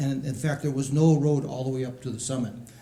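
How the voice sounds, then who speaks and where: Audible room echo surrounds the recording. A man speaks with a fairly high pitch. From Hawaii, Hilo. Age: 60s. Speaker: panelist. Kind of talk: panel opening statement.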